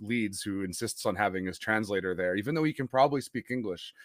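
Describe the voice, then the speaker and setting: Someone speaks with a Western Canadian accent in a very clean recording with a silent background, the sound dry and close with no echo. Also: man. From Western Canada (Winnipeg). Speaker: sports podcast host. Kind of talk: casual interview chat.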